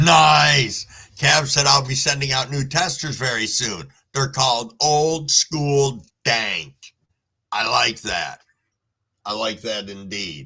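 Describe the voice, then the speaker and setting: At a very slow pace with long, frequent pauses, a man speaks at a medium pitch with vocal fry and lively intonation. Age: 60s. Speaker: live streamer, cannabis grower. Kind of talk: casual live stream chat reading comments. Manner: relaxed, conversational.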